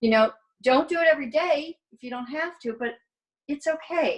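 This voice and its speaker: Pitch runs high for this woman, with ordinary variation. She speaks at a moderate pace. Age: 60s. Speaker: participant in women's wellness circle. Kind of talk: casual group video chat. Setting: video call.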